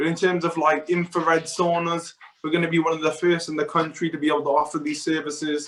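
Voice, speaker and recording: This man talks very fast with a South Wales accent. His pitch is fairly high and his intonation monotone and flat. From Wales, Newport. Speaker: professional futsal player. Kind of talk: interview.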